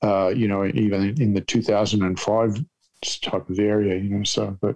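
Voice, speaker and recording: A man with an Australian accent, fairly low in pitch, at a moderate pace, monotone and flat, his loudness very even. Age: 60s. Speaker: comedian. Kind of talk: casual chat. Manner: deadpan.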